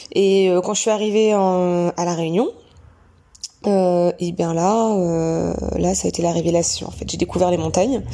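A woman's fairly low voice, fairly slow with long, frequent pauses and fairly even intonation, over noticeable background noise. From Normandy, France (Bayeux). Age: 30s. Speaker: gynecologist and trail runner. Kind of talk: interview. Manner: halting.

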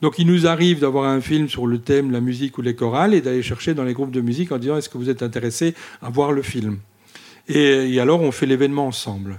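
A man talks at a very fast pace and medium pitch, with ordinary pitch variation. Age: 50s. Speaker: volunteer cinema association president. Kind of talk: interview. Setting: in a village cinema.

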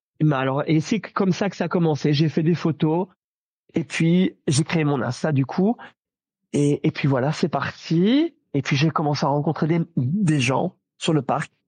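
The man's voice sits fairly high, with ordinary pitch variation and a moderate pace. The sound is dry and close with no echo, over a quiet background. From Belgium. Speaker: Disney fan and social media creator. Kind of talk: casual chat. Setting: video call from home. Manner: animated.

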